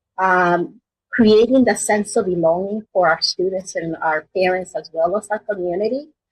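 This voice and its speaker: A woman with a Spanish accent speaks at a moderate pace with lively intonation. Her voice is somewhat breathy, recorded with a dry, close sound and no echo. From Mexico. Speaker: school superintendent. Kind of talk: interview.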